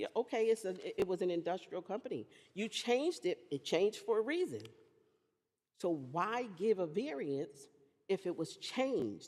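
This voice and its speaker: A woman speaks at a moderate pace in a medium pitch, her animated tone carrying very wide pitch swings broken by long, frequent pauses. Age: 60s. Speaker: resident speaking at public hearing. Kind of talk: public comment at zoning meeting.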